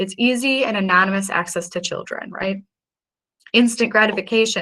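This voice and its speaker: The voice has a bright, sharp tone. Its pitch varies in an ordinary way. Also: woman. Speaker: police crime analyst presenter. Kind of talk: presentation. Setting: virtual event. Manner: fast.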